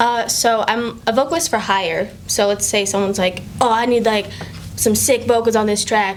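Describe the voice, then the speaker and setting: A woman with an American accent speaks at a fairly high pitch. Her loudness is very even, and there is noticeable background noise. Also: ordinary pitch variation, moderate pace. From Maine, later Florida and Utah. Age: 20s. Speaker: singer. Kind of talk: casual interview.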